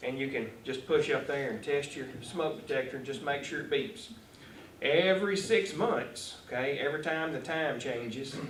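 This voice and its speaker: A man with a Texan accent, fairly high pitch, lively intonation and a moderate pace, amid noticeable background noise and audible room echo. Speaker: fire marshal. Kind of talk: talk to a club audience. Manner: loud.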